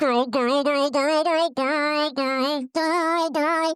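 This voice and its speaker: In a put-on character voice, the speaker talks very slowly at a high pitch. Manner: clenched-teeth, repetitive.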